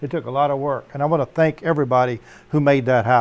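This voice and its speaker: A normal speaking voice, a man's, fairly high in pitch, with ordinary pitch variation and a fairly quick pace. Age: 60s. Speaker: Navy veteran and home cannabis grower. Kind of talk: casual chat.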